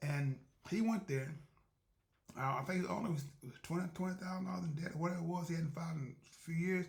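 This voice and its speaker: Talking at a very fast pace, a man with a high pitch uses ordinary pitch variation. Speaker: podcast host. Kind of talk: casual monologue. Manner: fast when excited; halting, many repetitions.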